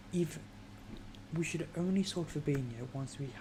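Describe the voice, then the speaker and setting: Whispering with a British accent, a woman is heard over noticeable background noise. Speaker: football fan streamer. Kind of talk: casual chat. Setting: live stream at home.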